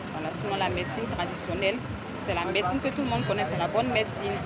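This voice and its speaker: A woman talks at a very fast pace. Loud background noise fills the recording. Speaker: TV talk show host. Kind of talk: TV talk show. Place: street.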